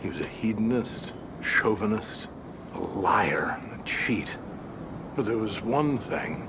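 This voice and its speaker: Very slow speech with ordinary pitch variation against noticeable background noise. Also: man. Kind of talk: scripted dramatic monologue. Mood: reflective, wistful, tender.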